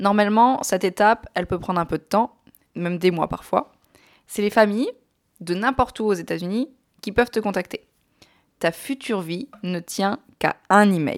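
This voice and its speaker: A woman of medium pitch talks at a moderate pace in an animated tone with ordinary pitch variation, leaving long, frequent pauses, and the sound is dry and close with no echo. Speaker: podcast host. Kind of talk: personal storytelling.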